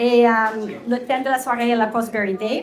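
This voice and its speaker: Noticeable background noise and audible room echo surround a woman speaking at a high pitch. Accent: American. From Texas, US. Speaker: Bible teacher and entrepreneur. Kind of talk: talk to an audience. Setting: restaurant event with audience. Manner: halting, many fillers.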